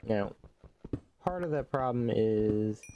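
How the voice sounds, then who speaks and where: Over noticeable background noise, a man speaks at a fairly slow pace with a fairly low pitch and ordinary pitch variation. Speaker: gaming streamer. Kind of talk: casual gameplay commentary. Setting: live stream.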